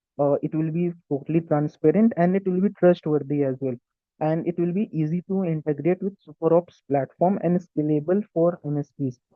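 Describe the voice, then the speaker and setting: A man with an Indian accent, fairly high-pitched, at a moderate pace with ordinary pitch variation. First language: Hindi. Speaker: tech YouTuber and student engineer. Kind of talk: tutorial. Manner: halting.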